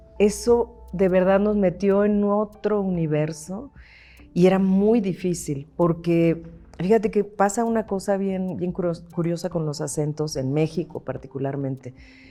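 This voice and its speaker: Over music in the background, a woman speaks at a fairly slow pace with a medium pitch and ordinary pitch variation. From Mexico, La Paz, Baja California Sur. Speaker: actress. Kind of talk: interview conversation.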